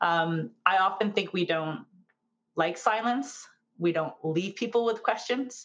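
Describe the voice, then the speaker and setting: A woman with a plain, everyday voice speaks at a fairly slow pace and medium pitch, her loudness very even and her intonation lively. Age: 40s. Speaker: startup accelerator manager. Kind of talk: interview.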